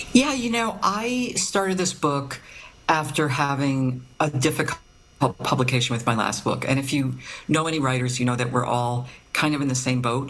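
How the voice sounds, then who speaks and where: A woman with a very deep, low voice speaks at a moderate pace with lively intonation. Noticeable background noise and audible room echo fill the recording. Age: 60s. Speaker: novelist. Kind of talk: interview. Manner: halting, many fillers.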